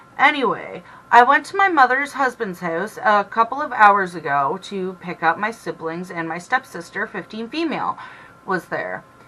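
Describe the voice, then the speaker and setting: Noticeable background noise sits behind a woman speaking. Her pitch is medium, with very wide swings. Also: moderate pace, big swings in loudness. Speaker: reddit story reader. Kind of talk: casual reddit story reading with commentary. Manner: stumbling, stuttering over words.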